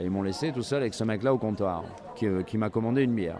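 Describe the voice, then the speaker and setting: Noticeable background noise runs under a man whose medium pitch varies in an ordinary way. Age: 40s. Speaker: comic book writer. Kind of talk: interview. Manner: halting, many repetitions and hesitations.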